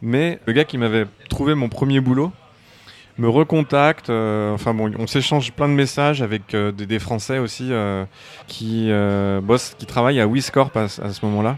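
At a fairly slow pace, a man with a plain, everyday voice speaks in a medium pitch with ordinary pitch variation. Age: 30s. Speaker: concept artist. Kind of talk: interview. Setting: bar.

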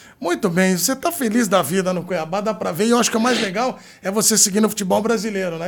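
Very fast, animated speech from a man with a high pitch and ordinary pitch variation, with music in the background. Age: 40s. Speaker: sports journalist and podcast host. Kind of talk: casual chat.

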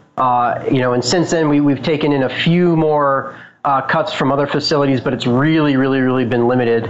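Someone with an American accent speaks at a moderate pace, with fairly even intonation and very even loudness, amid noticeable background noise and audible room echo. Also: man, fairly high pitch for a man. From Boulder, Colorado. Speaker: cannabis grower and business owner. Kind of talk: interview.

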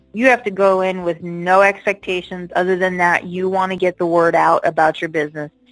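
A woman's medium-pitched, monotone voice with an American accent at a moderate pace over music in the background. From Las Vegas, US. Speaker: retired adult film performer and event producer. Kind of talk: interview.

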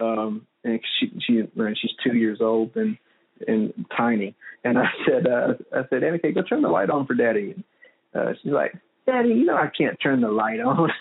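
The voice moves at a moderate pace with big pitch swings, vocal fry and a slightly husky edge. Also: man, medium pitch for a man.

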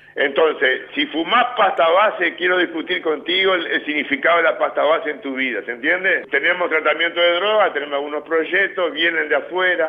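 A man with a Uruguayan accent talks at a fairly quick pace with hardly any pauses, against noticeable background noise. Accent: Uruguayan Spanish (Rioplatense). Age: 60s. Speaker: prison director. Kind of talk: interview.

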